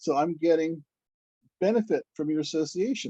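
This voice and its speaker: A man's voice carries a dark, mellow tone and lively intonation. The sound is dry and close, with no echo. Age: 60s. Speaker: devotee. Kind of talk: casual chat. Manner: halting.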